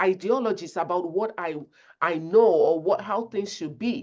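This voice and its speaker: The intonation is lively. The speaker has a Nigerian accent. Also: woman. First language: not English. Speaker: conflict resolution speaker. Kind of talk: webinar presentation.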